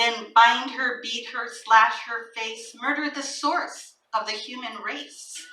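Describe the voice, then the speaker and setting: A woman with a fairly high voice talks at a very slow pace with hardly any pauses, her intonation fairly even but her loudness swinging widely. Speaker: poet. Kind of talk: poetry reading. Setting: live event in a small venue.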